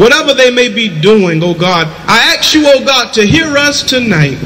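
Against light background noise, a man talks at a fairly slow pace with lively intonation. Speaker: church prayer leader. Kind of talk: fervent prayer. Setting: church, streamed online. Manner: fervent, rising preacher cadence. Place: street. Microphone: handheld.

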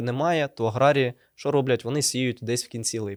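This man has a plain, everyday voice at a medium pitch, speaking at a moderate pace with fairly even intonation. The recording is very clean with a silent background and a dry, close sound with no echo. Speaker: seed company product manager. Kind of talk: conversational agronomy talk show. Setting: studio.

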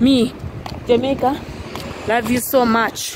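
A woman speaks at a fairly high pitch and a fairly slow pace. Background noise is noticeable, and the sound is dry with no echo. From Uganda. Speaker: vlogger and housemaid; vlogger. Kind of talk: casual vlog monologue. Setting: outdoors walking in the street. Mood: happy, grateful. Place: street. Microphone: phone near.

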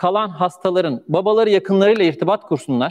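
A man's high pitch and lively intonation at a moderate pace over a quiet background. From Turkey, Manisa (Aegean region); Turkey. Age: 40s. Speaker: charity founder telling his life story; speaker. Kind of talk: personal testimony. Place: stage. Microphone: lapel.

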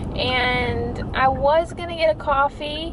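Noticeable background noise sits beneath the woman's speech. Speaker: vlogger. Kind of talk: casual vlog chat. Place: car. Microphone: phone near.

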